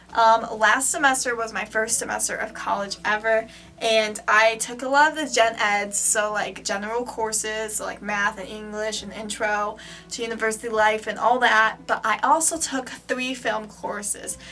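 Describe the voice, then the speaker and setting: A woman with a fairly high pitch talks at a moderate pace and a fairly even intonation. Her loudness swings widely, and the room echo is audible. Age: young. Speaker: vlogger, film student. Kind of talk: casual vlog. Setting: in a bathroom. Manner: casual, filler-heavy.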